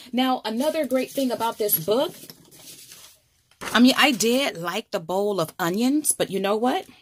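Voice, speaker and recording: A woman's fairly high voice with lively intonation and a bright, sharp tone. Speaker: crafting YouTuber. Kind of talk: tutorial. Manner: casual, thinking aloud.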